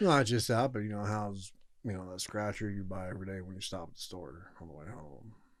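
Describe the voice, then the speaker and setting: With an American accent, a man speaks at a fairly quick pace and fairly low pitch, showing ordinary pitch variation and big swings in loudness against audible room echo. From Southern California. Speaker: former inmate. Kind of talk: casual interview.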